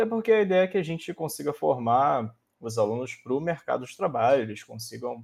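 A man with a plain, everyday voice talks at a moderate pace with lively intonation, in a very clean recording with a silent background. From interior of Rio de Janeiro state. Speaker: researcher and programming teacher. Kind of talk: casual chat.

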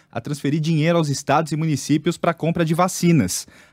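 A man talks at a fairly high pitch and a fairly quick pace in a normal speaking voice. The recording is very clean, dry and close, with a silent background and no echo. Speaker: radio news anchor. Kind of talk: news reading, also reads ads. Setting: radio studio.

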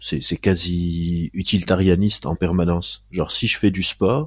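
A man talks at a fairly slow pace in a very deep, low voice. Music plays in the background. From Lebanon. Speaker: neuroscientist and clinical psychologist. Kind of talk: casual interview.

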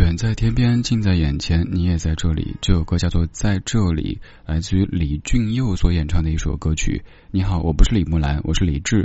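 Very deep, low male speech showing ordinary pitch variation. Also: moderate pace. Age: 30s. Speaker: late-night radio host. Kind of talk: casual chat. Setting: hotel room remote broadcast.

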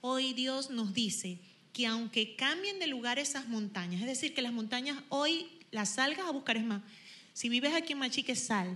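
A woman speaks at a high pitch. Her intonation is lively. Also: moderate pace. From Venezuela, Zulia (Machiques). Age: 40s. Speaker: worship leader. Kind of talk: worship exhortation.

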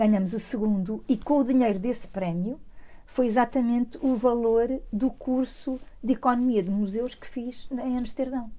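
A woman with a high-pitched, dark, mellow tone speaks at a moderate pace with ordinary pitch variation. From Portugal, Lisbon. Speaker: museum director. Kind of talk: interview.

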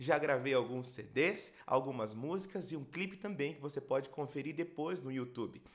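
In an unremarkable speaking voice, a man talks at a fairly high pitch and a moderate pace, with ordinary pitch variation and hardly any pauses. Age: 30s. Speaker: pastor and worship leader. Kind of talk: podcast introduction monologue.

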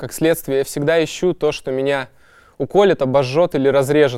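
This voice has a dark, mellow tone, ordinary pitch variation and a moderate pace. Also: man. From Kazakhstan, industrial city. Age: young. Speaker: poet. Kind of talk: interview monologue.

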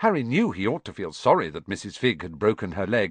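The passage is read aloud in a natural voice.

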